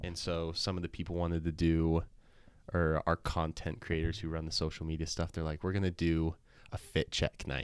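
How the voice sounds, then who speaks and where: With a western US accent, the speaker keeps a flat, monotone intonation at a moderate pace on a very clean recording with a silent background. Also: man, very deep, low pitch for a man. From Utah. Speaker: college soccer player. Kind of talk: casual chat. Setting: studio.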